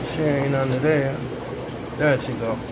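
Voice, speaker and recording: A man talks against noticeable background noise. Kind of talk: casual vlog chat. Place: home room. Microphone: phone near.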